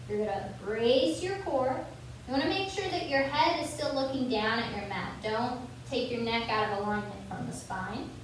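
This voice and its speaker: Strong room echo and light background noise accompany a woman speaking at a high pitch and moderate pace with lively intonation. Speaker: fitness instructor. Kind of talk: guided yoga class. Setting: video call. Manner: calm, clear, instructional. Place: gym.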